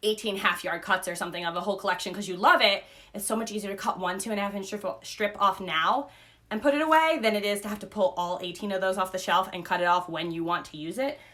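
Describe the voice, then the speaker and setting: There is noticeable background noise as a woman speaks at a very fast pace. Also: medium pitch for a woman, ordinary pitch variation. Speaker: quilting teacher. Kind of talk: tutorial. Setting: livestream video.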